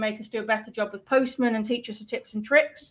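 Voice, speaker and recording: The speech comes in a British accent. It has a fairly quick pace and fairly even intonation. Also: woman. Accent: British, noted by self. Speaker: developer advocate stream host. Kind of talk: live stream tutorial chat. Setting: live stream.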